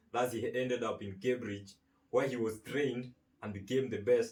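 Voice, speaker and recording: A man with a somewhat breathy voice at medium pitch talks at a moderate pace, keeping his intonation fairly even. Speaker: podcast host. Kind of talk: interview host talk.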